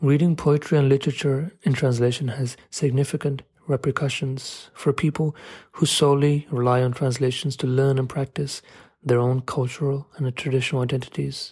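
A man's fairly high, somewhat breathy voice moves at a moderate pace with monotone, flat intonation on a very clean recording with a silent background. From London. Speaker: writer and photographer. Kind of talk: scripted narration.

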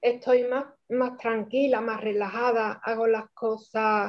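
A woman's fairly high-pitched voice, monotone and flat, at a very slow pace. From Spain, Cádiz (Andalusia). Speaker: guest sharing personal story. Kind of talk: testimony. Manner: halting, repeated words.

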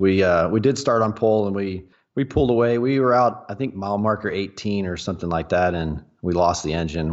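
With a Texan accent, a man talks at a fairly quick pace in a very deep, low pitch and lively intonation. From Texas, Dallas-Fort Worth area. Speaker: off-road racer. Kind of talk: casual chat.

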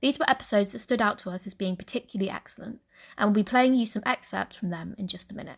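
A woman's somewhat breathy voice sits at a medium pitch, with ordinary pitch variation. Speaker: linguist and podcast host. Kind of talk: scripted narration.

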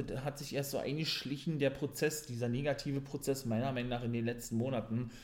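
The man's voice has a dark, mellow tone. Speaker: wrestling podcaster. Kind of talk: wrestling show recap podcast. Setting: home podcast recording. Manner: enthusiastic fan, opinionated, casual; slightly rambling, repeats words.

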